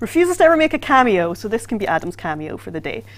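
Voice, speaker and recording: Her pace is very fast, with very wide pitch swings. This woman's voice also shows vocal fry. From Scotland. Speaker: livestream host for a video game. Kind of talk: casual livestream chat.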